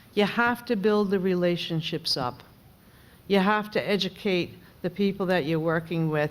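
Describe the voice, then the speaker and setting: Speaking at a medium pitch, a woman talks with a New York accent. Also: ordinary pitch variation, moderate pace. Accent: New York accent, noticeable. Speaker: member of Congress. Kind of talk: panel discussion.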